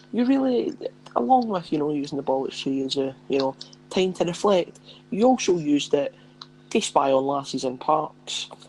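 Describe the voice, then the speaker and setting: Someone with a Scottish accent talks at a moderate pace over noticeable background noise. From Scotland, near Edinburgh. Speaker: podcast co-host. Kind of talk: casual chat.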